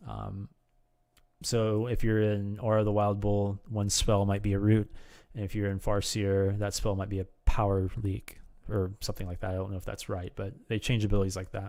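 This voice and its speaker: With a quiet background, a man speaks in a fairly low pitch and a dark, mellow tone, using a monotone, flat intonation. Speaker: gaming video creator; game streamer. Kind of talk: tutorial. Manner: fast; hesitant, many fillers. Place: home room. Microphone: studio mic.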